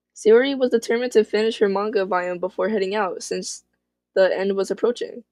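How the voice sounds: The delivery is a natural reading voice. The background is quiet.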